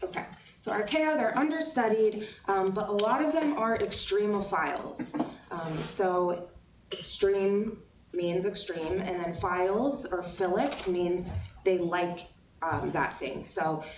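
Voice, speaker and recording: Speaking at a fairly slow pace with a medium pitch, a woman is heard over noticeable background noise and audible room echo. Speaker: university lecturer. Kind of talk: lecture. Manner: hesitant, many fillers.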